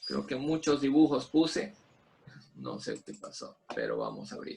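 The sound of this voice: At a moderate pace, a man speaks at medium pitch in a slightly mellow tone with a slightly husky edge and vocal fry, his pitch swinging very widely.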